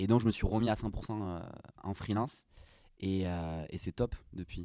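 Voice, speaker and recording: The man's voice has a dark, mellow tone. Its pitch shifts in an ordinary way. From southwestern France, Gers. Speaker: product designer. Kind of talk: interview. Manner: hesitant, many fillers.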